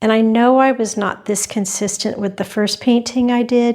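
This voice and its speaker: A soft-spoken woman at a moderate pace with fairly even intonation. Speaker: fluid art painter. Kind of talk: tutorial. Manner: hesitant, many fillers. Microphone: new clip-on wireless mic, reverb added.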